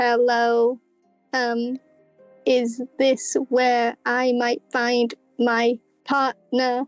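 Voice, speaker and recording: In a put-on, robotic character voice, a female-sounding voice speaks at a high pitch and a very slow pace, with long, frequent pauses and faint music in the background. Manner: flat, mechanical.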